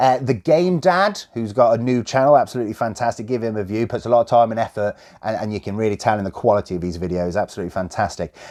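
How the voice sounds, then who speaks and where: A man speaks very fast in a Midlands accent, his pitch medium and his intonation lively. He hardly pauses at all. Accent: mild generic Midlands. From West Midlands, England (Coventry). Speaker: YouTuber, game collector. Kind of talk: casual Q&A chat. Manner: informal, filler-heavy.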